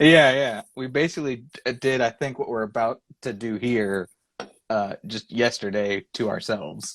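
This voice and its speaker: The voice moves at a fairly slow pace with ordinary pitch variation, in a dry, close sound with no echo. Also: man, medium pitch for a man. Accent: Texan. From Texas. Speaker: illustrator and creative director. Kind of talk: casual interview chat. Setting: Instagram live video.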